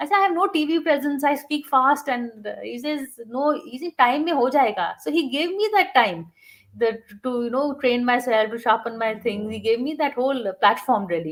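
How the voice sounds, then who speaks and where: With very wide pitch swings, a woman speaks at a high pitch. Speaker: TV journalist and news anchor. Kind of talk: interview conversation. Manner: fast.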